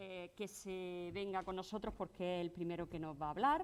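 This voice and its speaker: Medium in pitch and fairly even in intonation, this woman has an ordinary speaking voice. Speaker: event moderator. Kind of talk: conference introduction.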